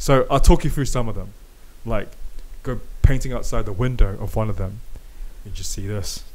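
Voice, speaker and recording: A man with a New Zealand accent talks at a moderate pace, leaving long, frequent pauses. His loudness swings widely, and audible room echo is present. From New Zealand, South Auckland. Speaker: podcast host. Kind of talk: casual chat. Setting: home garage. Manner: animated.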